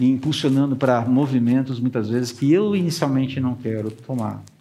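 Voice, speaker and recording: Over audible room echo, a man with a dark, mellow tone and medium pitch talks at a fairly quick pace with ordinary pitch variation. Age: 50s. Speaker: pastor. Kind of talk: sermon.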